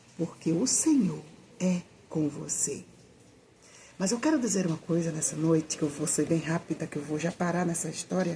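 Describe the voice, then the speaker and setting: Soft-spoken, a woman talks at a moderate pace in a fairly low pitch. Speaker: evangelical Bible teacher. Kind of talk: informal sermon. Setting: at home at night.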